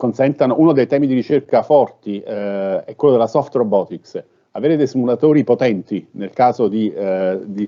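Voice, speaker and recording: With ordinary pitch variation, a man talks at a moderate pace and a medium pitch. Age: 60s. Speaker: robotics professor. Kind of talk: panel talk answering a question. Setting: online live-streamed event. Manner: halting, many fillers.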